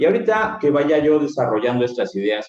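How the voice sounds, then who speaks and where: A man talks with ordinary pitch variation. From Mexico, Veracruz (Misantla). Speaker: philosophy teacher. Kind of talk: lecture. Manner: animated.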